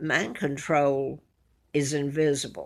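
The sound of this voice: Speaking at a slow pace, a woman talks with an Alabama accent. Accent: Southern US, Alabama.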